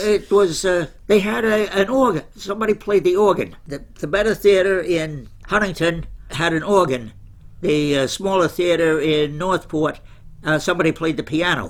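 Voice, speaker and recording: A man speaks with an American accent at a moderate pace. His pitch is high, with ordinary variation. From Commack, Long Island, New York. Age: 80s+. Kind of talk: interview answer.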